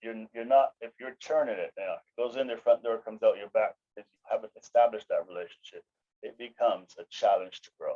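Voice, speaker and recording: A man talks at a fairly quick pace, his loudness swinging widely. The sound is dry and close, with no echo. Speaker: insurance agency owner. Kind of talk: interview. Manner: fast.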